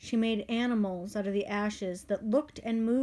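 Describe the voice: What's heard here is plain reading aloud.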